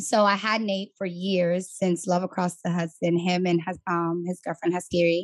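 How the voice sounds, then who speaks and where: A woman speaks in a New York accent with a fairly low pitch. Her intonation is monotone and flat, with hardly any pauses. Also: moderate pace. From New York City, the Bronx. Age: 20s. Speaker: coaching client, entrepreneur. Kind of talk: interview, personal testimony. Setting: on camera.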